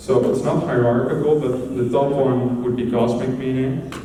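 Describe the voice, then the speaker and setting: The speech moves at a moderate pace amid audible room echo and noticeable background noise. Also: man. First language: Dutch. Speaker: conference speaker. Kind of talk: conference talk.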